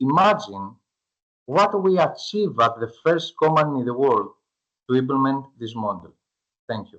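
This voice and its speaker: A man with a Greek accent, fairly high-pitched, at a moderate pace, with very wide pitch swings, big swings in loudness, and long, frequent pauses. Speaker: startup founder. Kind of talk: pitch presentation; Q&A answer. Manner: halting.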